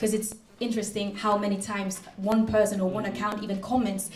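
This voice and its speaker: Amid noticeable background noise and audible room echo, a woman with a German accent speaks at a fairly high pitch. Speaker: master's student and researcher, panelist. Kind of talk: conference panel answer.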